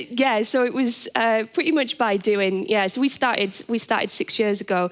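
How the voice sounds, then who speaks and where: A woman with a Teesside accent at a fairly quick pace, on a very clean recording over a silent background. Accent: northeast England (Teesside). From northeast England, Middlesbrough. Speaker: business founder, panelist. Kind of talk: panel discussion. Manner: halting, many repeated words.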